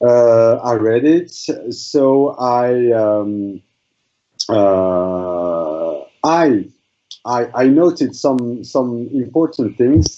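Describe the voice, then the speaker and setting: A man talks at a very slow pace in a medium pitch, keeping his loudness very even. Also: lively intonation. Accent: French. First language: French. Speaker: student in an imam training course. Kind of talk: class presentation in online seminar. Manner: halting, many fillers and repetitions.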